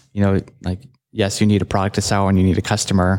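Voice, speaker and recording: A normal speaking voice from a man, fairly low in pitch and fairly quick, in a very clean recording with a silent background. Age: 30s. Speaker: entrepreneur. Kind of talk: interview. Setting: on location at a startup hub.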